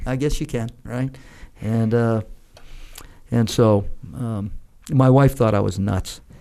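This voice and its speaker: Very slowly and with long, frequent pauses, a man with an American accent speaks at medium pitch in a dark, mellow tone, his intonation fairly even. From New Hampshire, US. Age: 50s. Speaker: retired army general. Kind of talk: interview storytelling.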